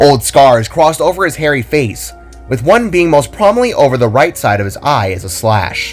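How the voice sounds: With faint music in the background, a man talks at a moderate pace and medium pitch, his pitch swinging widely.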